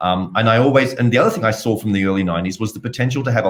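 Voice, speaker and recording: A man speaks at a medium pitch with a slight Australian accent, his pitch varying in an ordinary way. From Australia, Sydney. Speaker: blockchain entrepreneur. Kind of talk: interview.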